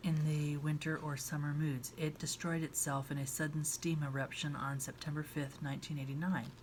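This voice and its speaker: Soft-spoken and somewhat breathy, a woman with a very deep, low pitch talks at a moderate pace with fairly even intonation. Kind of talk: ASMR book reading, soft-spoken.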